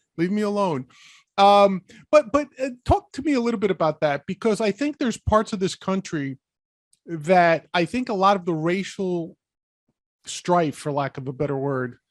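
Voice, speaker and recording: With a New York accent and a high pitch, a man talks at a moderate pace with very wide pitch swings. The sound is dry and close, with no echo. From New York City, the Bronx. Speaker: podcast host. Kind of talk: casual chat.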